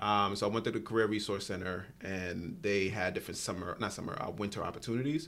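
A man's fairly low voice in a New York accent, very fast with hardly any pauses. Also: ordinary pitch variation. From Brooklyn, New York. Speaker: nonprofit executive director. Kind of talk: casual interview.

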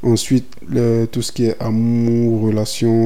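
With audible room echo and noticeable background noise, a man talks at a medium pitch in a monotone, flat intonation. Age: 20s. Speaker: podcaster. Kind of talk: casual monologue. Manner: casual, hesitant.

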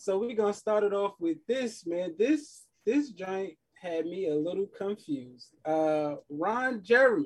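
A man with a New York accent, high-pitched and lively in intonation, at a fairly slow pace with hardly any pauses. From US Northeast, Queens, New York. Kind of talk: casual chat.

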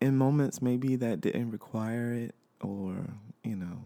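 With lively intonation, a man talks at a moderate speed. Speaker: podcast host. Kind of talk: casual solo monologue. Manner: halting, many fillers.

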